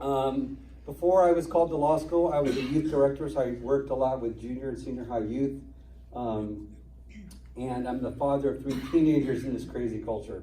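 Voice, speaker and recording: A man with a medium-pitched voice talks at a fairly quick pace, his pitch varying in an ordinary way. Room echo is audible. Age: 50s. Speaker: constitutional attorney. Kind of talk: talk to an audience. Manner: fast.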